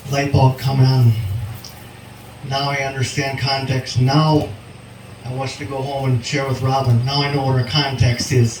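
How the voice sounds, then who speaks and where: With an American accent, a man of medium pitch speaks at a moderate pace in a monotone, flat way, leaving long, frequent pauses amid noticeable background noise. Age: 60s. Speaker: farmer. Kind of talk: presentation at field day. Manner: hesitant with fillers.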